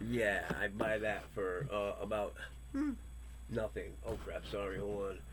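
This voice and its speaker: A man talks at a fairly slow pace. Audible room echo fills the recording. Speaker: political news commentator. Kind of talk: opinion news commentary. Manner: hesitant, with many fillers.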